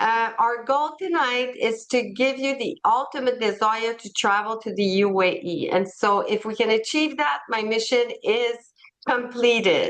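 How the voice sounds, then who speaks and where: With a French accent, a woman speaks in a high pitch. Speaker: tour company president. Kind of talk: presentation.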